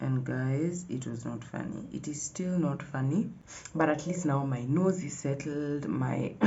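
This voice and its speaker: Audible room echo hangs around a woman whose very deep, low pitch carries at a fairly slow pace. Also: ordinary pitch variation. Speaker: vlogger. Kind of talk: casual vlog talk to camera. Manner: animated.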